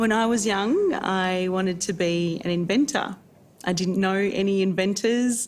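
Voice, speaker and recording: Heard with audible room echo, a woman with an Australian accent talks fairly slowly at a medium pitch, with ordinary pitch variation and very even loudness. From Geelong area, Victoria, Australia. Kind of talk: interview testimony.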